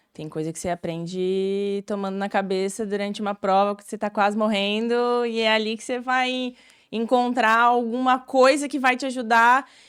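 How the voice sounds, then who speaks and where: A woman's fairly high voice, with pitch that rises and falls in a normal way, comes through on a very clean recording against total silence. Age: 20s. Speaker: nutritionist and marathon runner. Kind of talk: casual chat. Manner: talkative.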